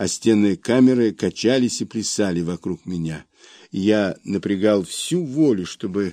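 The delivery is a natural reading voice. Pitch variation is ordinary.

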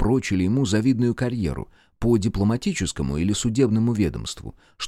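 An unforced reading voice with ordinary pitch movement

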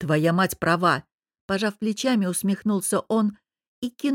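Someone reads in an unforced voice with ordinary pitch variation against a quiet background.

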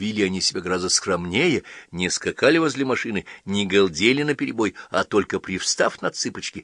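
This is plain reading aloud. Its pitch rises and falls in a lively way.

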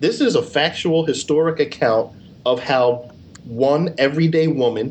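With noticeable background noise behind him, a man speaks at a fairly high pitch. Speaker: podcast reviewer. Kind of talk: casual comedic banter. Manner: jokey, crude, sarcastic.

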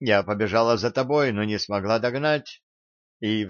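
The speaker reads aloud plainly, the pitch moving in an ordinary way, with a quiet background behind.

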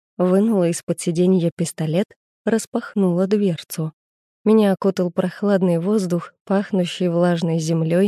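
The intonation stays fairly even. It is plain reading aloud over a quiet background.

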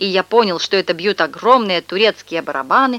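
A reading voice, natural in delivery

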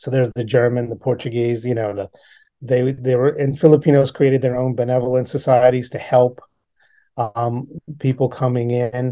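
Dark and mellow in tone, a man's voice holds a monotone, flat intonation. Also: medium pitch for a man, moderate pace, quiet background. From New Orleans, Louisiana. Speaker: poet and community historian. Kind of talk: interview. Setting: video call.

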